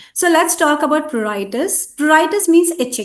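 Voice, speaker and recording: A woman speaks at a moderate pace. Some room echo can be heard. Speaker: veterinarian. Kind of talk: lecture. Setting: webinar.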